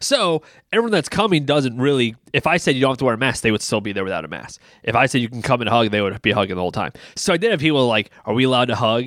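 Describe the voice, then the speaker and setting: On a very clean recording with a silent background, a man talks at a very fast pace with a medium pitch and lively intonation. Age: 30s. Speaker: pastor and podcast co-host. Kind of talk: casual chat. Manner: loud.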